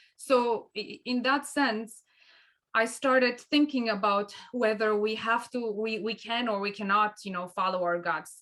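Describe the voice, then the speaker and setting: A woman with a Romanian accent speaks in a bright, sharp tone with ordinary pitch variation. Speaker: co-host of a mediation show. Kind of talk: conversational discussion. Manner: halting, many restarts.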